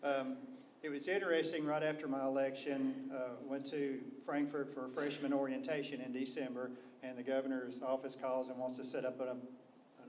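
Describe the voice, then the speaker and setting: In a Kentucky accent, a man talks at medium pitch with monotone, flat intonation. Audible room echo and noticeable background noise fill the recording. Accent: southern US (Kentucky). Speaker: state legislator. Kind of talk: panel discussion. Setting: public briefing with audience. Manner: soft-spoken.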